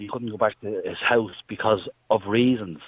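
A man with an Irish accent. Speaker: caller. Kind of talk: heated debate. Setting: phone call.

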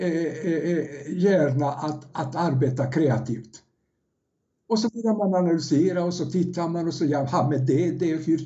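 The man's pitch is high. He talks at a fairly slow pace. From Yugoslavia. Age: 70s. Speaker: first-time author, former salesman. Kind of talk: podcast interview. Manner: halting, repeats words.

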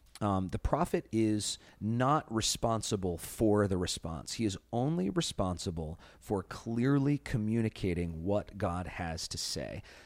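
A man speaks in a normal speaking voice, fairly low in pitch, with lively intonation at a fairly slow pace and hardly any pauses. The recording is very clean, with a silent background. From US Midwest, Chicago. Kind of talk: Bible study discussion.

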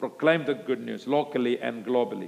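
A man with an Indian accent and ordinary pitch variation. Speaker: preacher at missions conference. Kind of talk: sermon. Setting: church conference stage with audience.

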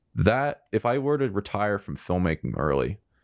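A man speaks in an ordinary speaking voice, fairly low in pitch with lively intonation. The sound is dry and close with no echo, on a very clean recording with a silent background. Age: 20s. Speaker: podcast host and filmmaker. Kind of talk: casual interview chat.

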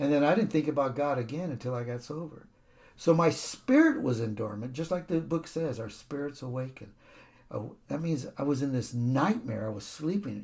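Here a man with an American accent speaks at a moderate pace, his fairly high pitch carrying lively intonation. The voice is somewhat breathy. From Stockton, California. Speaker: recovering alcoholic, sponsor. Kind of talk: testimony. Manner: animated, laughs often.

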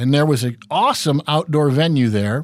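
Man with an American accent, fairly high pitch, moderate pace, a plain, everyday voice. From Minnesota. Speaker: radio host. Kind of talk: casual chat.

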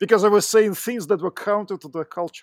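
A man with a Russian accent talks at a fairly quick pace in a high voice for a man, with ordinary pitch variation and a dry, close sound free of echo on a very clean recording over a silent background. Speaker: tech entrepreneur. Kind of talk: interview. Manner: halting.

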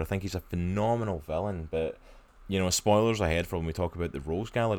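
Delivered at a very fast pace with ordinary pitch variation, the speech sits on a very clean recording with a silent background. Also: man. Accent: Scottish. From Scotland. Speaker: comics podcast host. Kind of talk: casual chat.

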